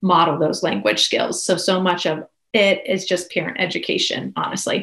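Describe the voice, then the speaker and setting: In an American accent, a woman with a normal speaking voice and medium pitch talks at a moderate pace with fairly even intonation. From Pennsylvania, Pittsburgh area. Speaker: speech language pathologist. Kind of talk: interview.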